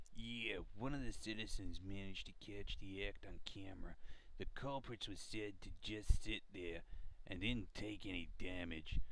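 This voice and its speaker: A man's put-on character voice at a fairly low pitch, over clear background noise. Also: moderate pace. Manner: rude, gruff.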